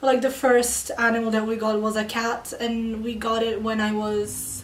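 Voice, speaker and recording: Fairly high-pitched woman at a moderate pace with hardly any pauses, over noticeable background noise. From Serbia, partly raised in Italy and Moscow. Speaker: interviewee. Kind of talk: interview.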